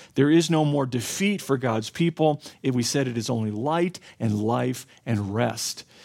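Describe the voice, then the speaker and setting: Speaking with an ordinary speaking voice, a man keeps a fairly slow pace at medium pitch with lively intonation. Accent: American. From US South, southwestern Florida. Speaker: pastor. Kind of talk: sermon.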